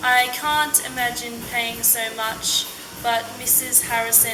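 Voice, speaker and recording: Speaking with an Australian accent, a woman has a fairly high pitch and a fairly slow pace. Noticeable background noise is present. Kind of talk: scripted accent-archive passage reading.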